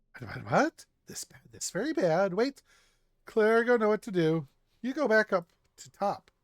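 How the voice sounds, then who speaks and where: A put-on character voice, raised and projected, fairly high in pitch, at a moderate pace with long, frequent pauses. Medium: game stream. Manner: broken grammar, hurried.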